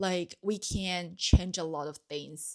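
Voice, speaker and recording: On a very clean recording with a silent background, a woman talks at a very slow pace. Her pitch is medium, with ordinary pitch variation. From Taiwan. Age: 20s. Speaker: podcaster. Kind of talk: solo podcast monologue. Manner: hesitant, many fillers.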